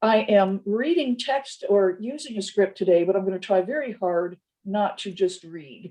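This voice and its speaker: A woman's dark, mellow voice with lively intonation and big shifts in loudness. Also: medium pitch for a woman. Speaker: professor. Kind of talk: academic lecture read partly from a script. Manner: slower than usual, careful consonants; slightly stilted, read from a script.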